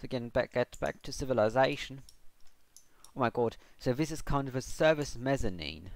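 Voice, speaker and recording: With ordinary pitch variation, this man's voice sits at a medium pitch. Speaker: gaming livestreamer. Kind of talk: live gameplay commentary. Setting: livestream. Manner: halting, many fillers.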